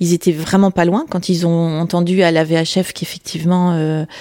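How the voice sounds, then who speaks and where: This is a normal speaking voice at a moderate pace with fairly even intonation. The sound is dry and close, with no echo. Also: woman. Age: 50s. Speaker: accident survivor. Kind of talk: testimony.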